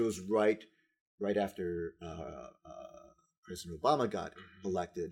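At a fairly slow pace, a man speaks in an American accent. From Texas, San Antonio. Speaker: community development director. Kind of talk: casual chat. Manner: halting.

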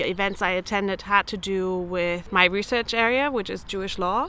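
Bright and sharp in tone, a woman with a German accent speaks at a medium pitch with fairly even intonation. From Germany, Berlin. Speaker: researcher. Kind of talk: interview testimony.

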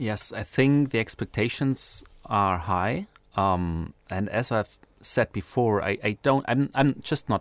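Recorded very cleanly against a silent background, a man with a fairly low pitch and a German accent speaks with lively intonation in a dry, close sound with no echo. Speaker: political science researcher. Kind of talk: radio interview. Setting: studio.

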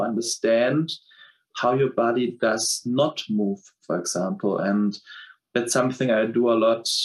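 With a German accent, a man speaks at a moderate pace in a medium pitch and shows ordinary pitch variation. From Germany. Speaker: countertenor and choreographer. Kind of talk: interview. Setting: video call.

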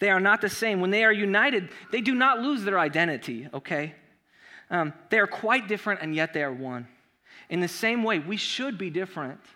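A man's high, raised, projected voice in an American accent, bright and sharp in tone, with lively intonation and a fairly quick pace. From Southern California. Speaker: pastor. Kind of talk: sermon. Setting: church. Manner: casual.

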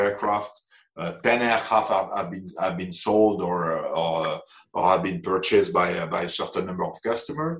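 In a French accent, a man speaks at a moderate pace with a fairly low pitch. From France. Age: 60s. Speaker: aviation executive. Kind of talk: interview. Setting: remote call. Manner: halting.

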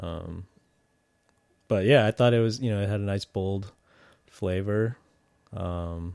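A man with an American accent speaks at a fairly slow pace in a fairly low voice, with fairly even intonation and long, frequent pauses. The recording is very clean, the background silent. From Chicago. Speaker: food podcast co-host. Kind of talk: casual chat.

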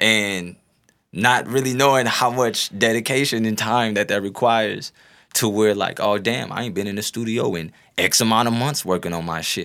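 A man at medium pitch with a bright, sharp tone, ordinary pitch variation and moderate pace, on a very clean recording with a silent background. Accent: American. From North St. Louis, Missouri. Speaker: rapper. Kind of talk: casual chat.

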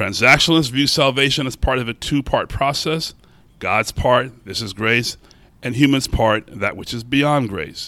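A man at medium pitch with a bright, sharp tone and a fairly slow pace. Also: ordinary pitch variation. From Baltimore. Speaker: theology professor. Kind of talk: academic paper reading. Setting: conference panel with audience.

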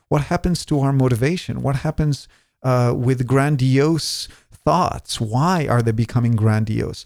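A man with an Israeli accent and ordinary pitch variation, on a very clean recording with a silent background. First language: Hebrew. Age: 40s. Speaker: podcast host. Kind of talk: interview.

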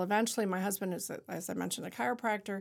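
An ordinary speaking voice with fairly even intonation comes through on a very clean recording with a silent background. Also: woman. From Ontario, Canada (Niagara-on-the-Lake). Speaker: artist and shop owner. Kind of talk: casual interview. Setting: studio.

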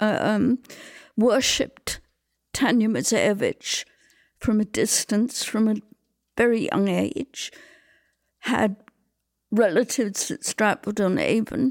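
A fairly high-pitched woman at a very slow pace, with ordinary pitch variation, long, frequent pauses and a very clean recording, silent background. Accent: English. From England. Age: 70s. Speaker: theatre designer. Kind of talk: interview. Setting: at home.

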